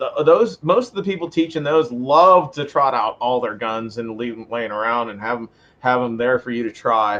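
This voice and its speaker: This man has a plain, everyday voice with an American accent, medium pitch, ordinary pitch variation, a moderate pace and big swings in loudness. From western Pennsylvania. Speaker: firearms instructor. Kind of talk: podcast interview.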